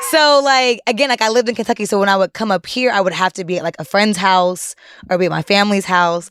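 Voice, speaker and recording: Very fast speech from a woman at a medium pitch. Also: ordinary pitch variation, dry, close sound with no echo. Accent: American. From Columbus, Ohio. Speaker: journalist. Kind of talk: casual chat.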